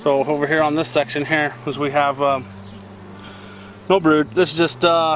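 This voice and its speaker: Amid noticeable background noise, a man speaks with fairly even intonation and long, frequent pauses. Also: fairly high pitch for a man, moderate pace. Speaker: beekeeper, homesteading vlogger. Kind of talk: casual tutorial. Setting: outdoors at a beehive. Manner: loud; casual, halting with fillers.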